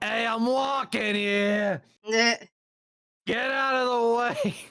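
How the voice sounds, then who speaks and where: In a put-on character voice, someone shouts at a fairly high pitch and a very slow pace. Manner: brash, impatient.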